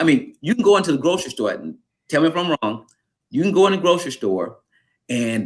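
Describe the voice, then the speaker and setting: Vocal fry runs through a very fast, animated delivery with very wide pitch swings. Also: man. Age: 60s. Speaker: physical education instructor. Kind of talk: casual chat.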